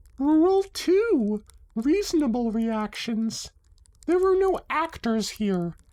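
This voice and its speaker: This put-on character voice is high in pitch, with very wide pitch swings. It moves at a very slow pace. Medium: read story. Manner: brisk, self-assured.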